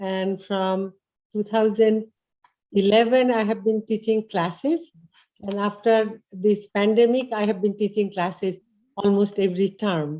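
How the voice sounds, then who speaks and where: In an Indian accent, the speaker goes at a fairly slow pace with a dark, mellow tone and fairly even intonation. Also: woman, medium pitch for a woman. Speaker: adult education instructor. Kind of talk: class presentation at open house. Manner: hesitant, many fillers.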